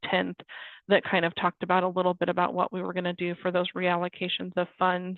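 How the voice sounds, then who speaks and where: Music plays in the background as a woman with a medium pitch talks at a fairly quick pace. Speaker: state government staffer. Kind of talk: webinar presentation. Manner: fast.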